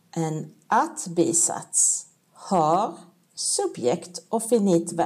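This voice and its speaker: Somewhat breathy and fairly low in pitch, a woman with a Swedish accent speaks at a very slow pace. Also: ordinary pitch variation. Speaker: language teacher. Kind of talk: tutorial. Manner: clear, deliberate explaining with pauses.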